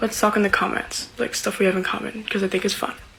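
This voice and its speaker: Noticeable background noise sits behind a woman with a medium pitch. She talks very fast in a monotone, flat intonation. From Brazilian family. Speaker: social media user. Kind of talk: casual social media clip. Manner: chatty, lots of filler words.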